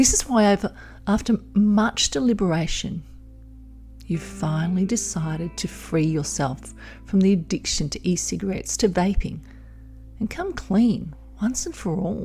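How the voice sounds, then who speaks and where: A woman's calm, soothing voice with long, frequent pauses, music in the background. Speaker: hypnotherapist and midwife. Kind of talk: hypnosis audio program. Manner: calm, slow, soothing.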